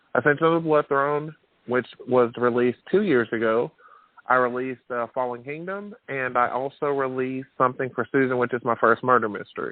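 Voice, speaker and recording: A man with a Southern US accent speaks at a fairly quick pace. His pitch is medium, with ordinary variation. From Alabama. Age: 30s. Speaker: author. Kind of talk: interview. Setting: radio show.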